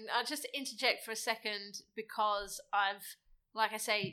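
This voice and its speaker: Recorded very cleanly against a silent background, a woman with an English accent speaks at a moderate pace, fairly high in pitch with fairly even intonation. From England. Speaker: interviewer. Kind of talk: casual chat. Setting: home.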